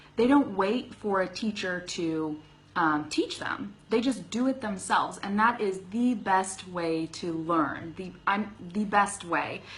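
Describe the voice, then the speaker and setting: Speaking very slowly with a Californian accent, a woman uses a medium pitch and ordinary pitch variation. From US West, Sacramento California. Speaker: English teacher. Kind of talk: live stream Q&A lesson. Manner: casual, with frequent fillers.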